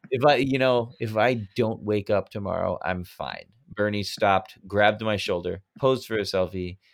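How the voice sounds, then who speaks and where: A man with an American accent talks at a moderate pace in a fairly low pitch, with ordinary variation in his pitch. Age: 30s. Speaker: podcast host. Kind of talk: casual chat. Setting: remote recording. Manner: animated.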